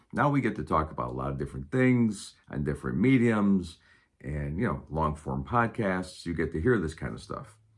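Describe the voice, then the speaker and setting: At a moderate pace, the serious-toned voice shows vocal fry and very wide pitch swings in a very clean recording with a silent background. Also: man, very deep, low pitch for a man. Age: 60s. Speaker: stand-up comedian. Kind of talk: casual monologue to camera. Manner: serious, unscripted.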